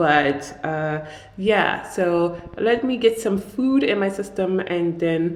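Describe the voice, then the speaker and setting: Audible echo from the room around a woman's voice, its pitch varying in an ordinary way. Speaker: artist and vlogger. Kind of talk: casual vlog. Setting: new office studio. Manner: soft-spoken. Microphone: echo in the room.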